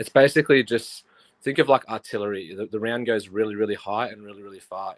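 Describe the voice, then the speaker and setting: A man with an Australian accent, fairly low pitch, fairly even intonation and a fairly quick pace, in a dry, close sound with no echo. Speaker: army soldier calling into a livestream. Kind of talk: casual chat. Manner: halting.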